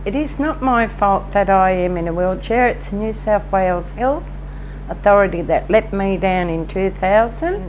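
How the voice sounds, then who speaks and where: A woman talks at a medium pitch. Background noise is noticeable. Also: ordinary pitch variation, moderate pace. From Tamworth, New South Wales, Australia. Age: 60s. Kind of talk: interview answer.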